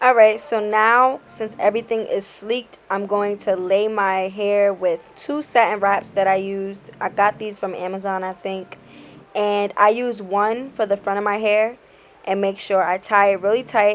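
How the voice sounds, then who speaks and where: At a moderate pace, a woman with a New York accent talks at a medium pitch with fairly even intonation. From Bronx, New York. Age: 20s. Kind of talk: hair tutorial talk to camera. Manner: casual, friendly.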